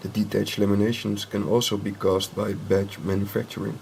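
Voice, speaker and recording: A man with a non-native accent talks at a fairly low pitch. Light background noise can be heard. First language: not English. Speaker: drone hobbyist and ultrasonic testing technician; inspection technician demonstrating. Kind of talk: tutorial. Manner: halting, many fillers; slow and deliberate. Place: workshop.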